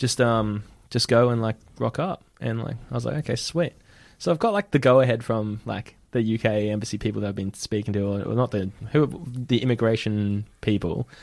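With an Australian accent, this voice moves at a moderate pace with ordinary pitch variation. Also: man, medium pitch for a man. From Brisbane, Australia. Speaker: guest storyteller. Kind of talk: storytelling.

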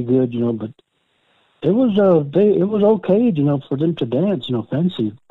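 A man with an American accent in a normal speaking voice, fairly quick, with lively intonation. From Oklahoma. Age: 60s. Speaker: powwow dancer, world champion. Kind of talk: interview.

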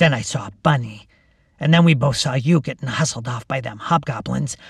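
Speaking at a moderate pace, a man puts on a raspy character voice at a medium pitch. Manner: uncaring.

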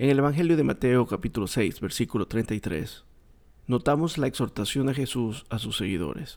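Here is a man with a normal speaking voice at medium pitch. His intonation is lively and his pace moderate. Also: very clean recording, silent background. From Ecuador, coast region. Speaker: religious podcast host. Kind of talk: bible teaching monologue.

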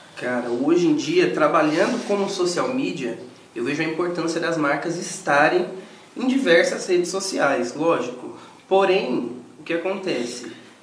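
Noticeable background noise and audible room echo surround a man talking at a fairly slow pace. His pitch is high and his intonation lively. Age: 20s. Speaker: social media manager. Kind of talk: casual chat.

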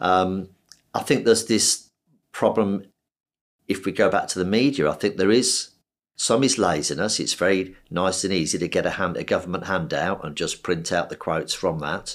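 In a very clean recording with a silent background, a man speaks with a very deep, low pitch. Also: ordinary pitch variation, moderate pace. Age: 60s. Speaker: surgeon. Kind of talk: interview.

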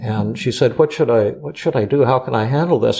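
Vocal fry in a man's dark, mellow, medium-pitched voice, with lively intonation at a fairly quick pace. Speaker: psychiatrist. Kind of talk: casual chat. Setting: studio.

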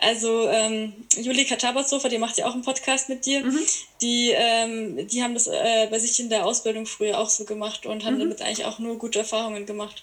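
A woman's fairly even intonation holds as she talks fairly quickly against noticeable background noise. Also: fairly high pitch for a woman. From Bavaria, Landsberg am Lech area. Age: 20s. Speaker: horse trainer. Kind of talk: casual chat.

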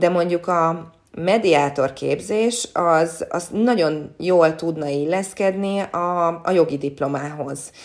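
A woman with a fairly low voice speaks at a very slow pace with hardly any pauses and ordinary pitch variation. The recording is very clean, with a silent background. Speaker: sports reporter and former athlete. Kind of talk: interview. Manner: hesitant, many repeated words.

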